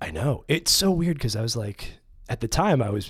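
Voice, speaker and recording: A man speaks somewhat breathily with an American accent. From New York City. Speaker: filmmaker and writer, former golf caddie. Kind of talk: casual chat. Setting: studio.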